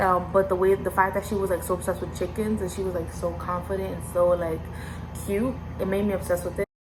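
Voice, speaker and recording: Music plays behind a woman with an American accent. She talks at a very fast pace in an animated tone. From US, Dominican parents. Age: 20s. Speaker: YouTuber, college student. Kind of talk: casual vlog Q&A. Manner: animated, filler-heavy.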